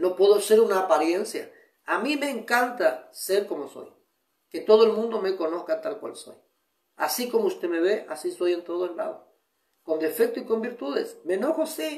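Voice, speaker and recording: At a moderate pace, a man speaks high for his sex, with very wide pitch swings and big shifts in loudness, and the room echo is audible. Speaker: pastor. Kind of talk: sermon. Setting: online broadcast. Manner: restrained, controlling his volume.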